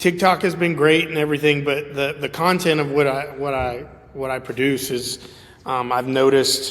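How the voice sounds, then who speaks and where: Amid noticeable background noise, the speaker moves at a moderate pace with fairly even intonation. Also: man. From South Louisiana (Cajun country, LaRose). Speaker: chiropractor. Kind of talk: casual interview chat.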